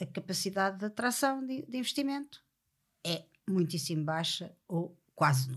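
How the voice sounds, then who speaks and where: A woman with a medium pitch and a somewhat breathy voice speaks at a moderate pace on a very clean recording with a silent background. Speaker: podcast host. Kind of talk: interview.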